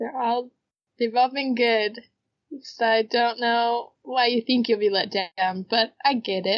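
A woman's unremarkable speaking voice, fairly high in pitch, with fairly even intonation at a fairly slow pace. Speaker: podcast co-host. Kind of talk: casual chat.

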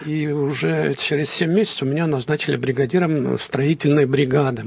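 At a fairly slow pace, a man speaks with fairly even intonation and fairly high pitch over noticeable background noise. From Belarus, Vitebsk region. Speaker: professor and businessman. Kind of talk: interview.

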